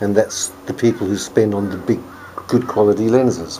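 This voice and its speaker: A man speaks with fairly low pitch and fairly even intonation. Noticeable background noise is present. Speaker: hobbyist video maker. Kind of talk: tutorial. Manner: soft-spoken. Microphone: camera's built-in mic, poor audio pickup.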